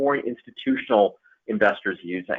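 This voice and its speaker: A man's plain, everyday voice with an American accent and a fairly high pitch. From United States. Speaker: investment advisor. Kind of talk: webinar presentation. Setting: online webinar. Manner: many fillers.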